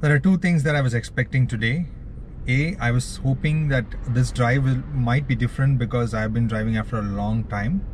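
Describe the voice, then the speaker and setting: Light background noise sits under a dry sound with no echo. The man speaks at a moderate pace with ordinary pitch variation. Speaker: travel vlogger. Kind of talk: casual vlog chat. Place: car. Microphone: phone near.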